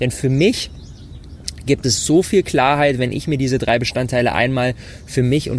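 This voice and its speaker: The speaker has an animated tone and a moderate pace, with noticeable background noise behind them. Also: man. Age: 20s. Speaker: entrepreneur. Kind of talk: solo podcast talk. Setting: outdoors on rooftop terrace.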